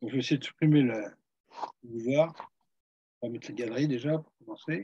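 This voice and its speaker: A man's medium-pitched voice carries a dark, mellow tone and big swings in loudness. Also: ordinary pitch variation, moderate pace. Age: 70s. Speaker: heritage association vice-president, speaker. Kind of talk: webinar Q&A.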